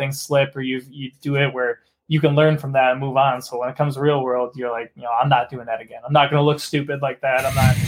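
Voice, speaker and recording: A man speaks at a fairly quick pace in a medium pitch. His intonation is monotone and flat, in a very clean recording with a silent background. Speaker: podcast host. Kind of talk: casual podcast chat.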